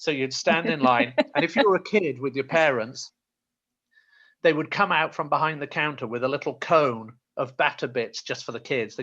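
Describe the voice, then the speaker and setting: The tone is bright and sharp, with a South Yorkshire accent and ordinary pitch variation. The pace is moderate, and the background is quiet. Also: man, fairly high pitch for a man. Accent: Yorkshire, Rotherham, South Yorkshire. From Rotherham, South Yorkshire, England. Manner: conversational storyteller.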